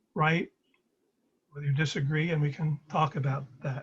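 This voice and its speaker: Speaking at a moderate pace, a man with an American accent has a fairly high voice. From Brooklyn, New York (Flatbush). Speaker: presenter sharing personal story. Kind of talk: presentation over video call. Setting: video call.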